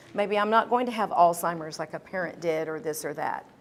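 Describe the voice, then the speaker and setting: In a very clean recording with a silent background, one voice comes through. It belongs to a woman. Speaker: doctor giving health talk. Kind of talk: live talk to audience. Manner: fast; animated.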